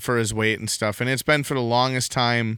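A man's medium-pitched voice with a strong Wisconsin accent, bright and sharp in tone, at a moderate pace with fairly even intonation. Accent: thick Wisconsin. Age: young. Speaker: podcast co-host. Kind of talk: casual chat. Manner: halting, many fillers.

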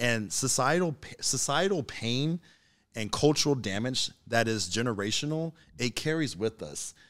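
A man's medium-pitched, unremarkable speaking voice with lively intonation at a moderate pace, in a very clean recording with a silent background. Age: 30s. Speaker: podcast guest. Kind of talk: casual chat.

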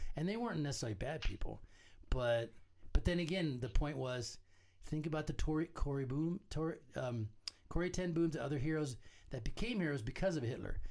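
Speaking at a fairly quick pace with lively intonation, a man has a normal speaking voice. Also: fairly high pitch for a man. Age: 60s. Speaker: podcast host and novelist. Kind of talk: casual chat.

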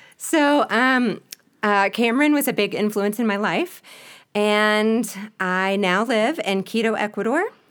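On a very clean recording with a silent background, a woman with a Southern US accent speaks at a fairly slow pace and very even loudness. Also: fairly high pitch for a woman, ordinary pitch variation. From US South, Spartanburg, South Carolina. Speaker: missionary and ministry partner. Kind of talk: interview.

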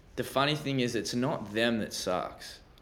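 Fairly quick male speech with audible room echo. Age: 20s. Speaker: hip hop artist. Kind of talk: casual chat.

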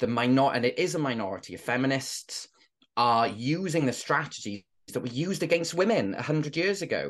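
With a Welsh accent, a man speaks in a fairly high pitch and lively intonation over a quiet background. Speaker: former teacher and inclusion trainer. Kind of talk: interview conversation.

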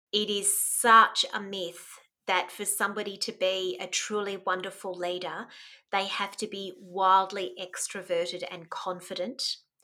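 In a bright, sharp tone with an Australian accent, a woman speaks at a fairly slow pace with fairly even intonation and big swings in loudness, on a very clean recording with a silent background. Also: medium pitch for a woman. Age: 50s. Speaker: mentor and life coach. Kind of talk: casual interview.

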